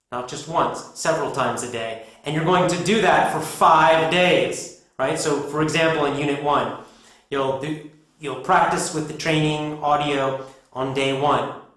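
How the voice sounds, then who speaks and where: Amid audible room echo, a man with a fairly high pitch speaks at a fairly slow pace with fairly even intonation. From United States. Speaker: English pronunciation teacher. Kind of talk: tutorial. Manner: clear, deliberate.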